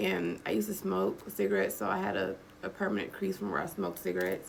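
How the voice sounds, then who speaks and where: The speech is animated and very fast, with very even loudness. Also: woman. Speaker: vlogger. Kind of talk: casual monologue to camera.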